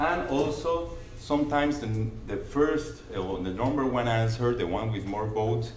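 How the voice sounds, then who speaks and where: With a Spanish accent and ordinary pitch variation, the speaker is heard over noticeable background noise in a room with audible echo. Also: man. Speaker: conference presenter. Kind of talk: conference presentation. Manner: halting.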